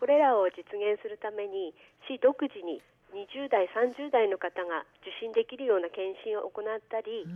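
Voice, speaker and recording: A woman with an unremarkable speaking voice, fairly high in pitch, at a moderate pace, with ordinary pitch variation and big swings in loudness. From Aomori, Japan (Aomori city). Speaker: public health nurse. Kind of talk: radio interview. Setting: phone call.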